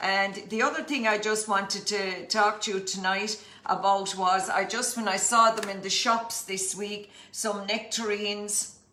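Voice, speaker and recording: Against noticeable background noise and audible room echo, a woman with a County Clare accent speaks at a fairly slow pace in a monotone, flat intonation. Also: medium pitch for a woman. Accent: County Clare Irish. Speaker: cookery teacher. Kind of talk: cooking demonstration livestream.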